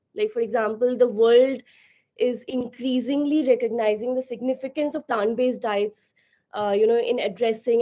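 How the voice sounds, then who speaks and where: A woman's voice carries a dark, mellow tone at a fairly high pitch. She keeps a moderate pace with fairly even intonation. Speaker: company founder. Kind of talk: webinar talk. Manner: loud.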